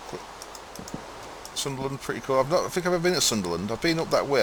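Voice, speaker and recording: A man with a fairly high pitch talks with normal pitch variation as background noise stays clearly audible. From East Yorkshire, near Hull. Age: 30s. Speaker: gamer streamer. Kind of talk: live stream gameplay commentary. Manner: laid back.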